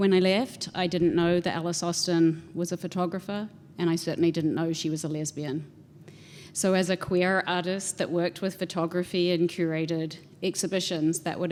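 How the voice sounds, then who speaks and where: With a New Zealand accent, a woman talks at a moderate pace with fairly even intonation. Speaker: house museum director. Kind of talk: panel talk presentation.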